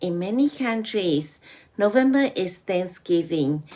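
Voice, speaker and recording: A woman speaks with a Burmese accent. Her pitch sits in the medium range. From Myanmar. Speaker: program guest sharing a holiday story. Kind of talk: prepared talk.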